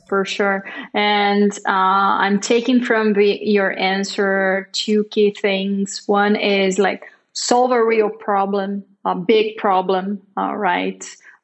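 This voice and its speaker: A woman speaks very slowly in a Portuguese accent, her intonation monotone and flat. The background is quiet. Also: medium pitch for a woman. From Brazil. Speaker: marketing director, interviewer. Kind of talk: interview. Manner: hesitant, many fillers.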